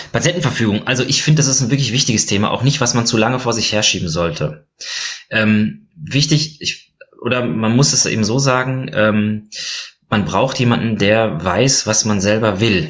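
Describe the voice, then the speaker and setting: An unremarkable speaking voice, this man talks at a moderate pace in a medium pitch with lively intonation and very even loudness. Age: 30s. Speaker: physician and board game blogger. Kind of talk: casual chat.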